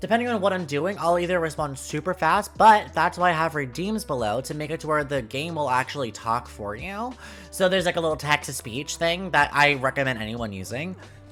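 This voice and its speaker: With music in the background, a man talks at a fairly quick pace with hardly any pauses, his fairly high voice swinging very widely in pitch. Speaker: vtuber and streamer. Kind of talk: casual vlog. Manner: halting, lots of fillers; animated, dramatic.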